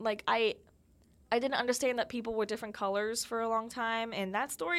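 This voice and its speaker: Speaking at a very fast pace, a woman has a fairly high pitch. She has an American accent. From Pennsylvania, US. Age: young. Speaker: podcast host, college student. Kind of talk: casual solo podcast monologue. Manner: chatty, lots of fillers.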